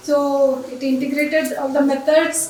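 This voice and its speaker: Over noticeable background noise and audible room echo, a woman speaks in a monotone, flat intonation. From India, Andhra Pradesh. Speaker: engineering professor. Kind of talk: conference lecture. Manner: fast.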